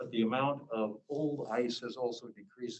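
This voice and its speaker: In an American accent, the man talks at a medium pitch. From Alaska. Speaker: visiting scholar, lecturer. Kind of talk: lecture. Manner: halting, with fillers and repetitions.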